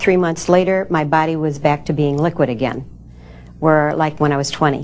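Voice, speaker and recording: A woman talks in a very deep, low pitch. Noticeable background noise runs behind her. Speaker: home business owner, supplement distributor. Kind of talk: testimony.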